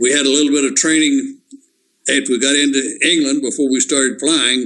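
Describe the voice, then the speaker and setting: A man with a Texan accent talks at a moderate pace, pitched fairly high for a man. His intonation stays fairly even, with long, frequent pauses. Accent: Texan Southern US. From East Texas. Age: 80s+. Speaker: war veteran. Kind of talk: oral history interview. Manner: halting.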